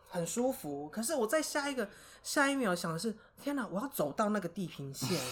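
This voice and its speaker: Somewhat breathy and fairly high-pitched, a woman with a Taiwanese accent speaks at a fairly quick pace with very wide pitch swings. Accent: Taiwanese Mandarin. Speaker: high school teacher. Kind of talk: interview.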